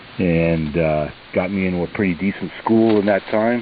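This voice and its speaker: Very deep, low male voice with ordinary pitch variation against noticeable background noise. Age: 70s. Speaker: ham radio operator. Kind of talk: casual chat. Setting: radio call. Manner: halting, many fillers.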